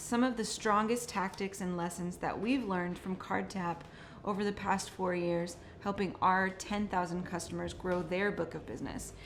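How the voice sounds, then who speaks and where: With a Californian accent, a woman talks at a moderate pace. Audible room echo surrounds her voice. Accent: General American (Californian). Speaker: marketing manager, webinar co-host. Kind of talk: webinar presentation.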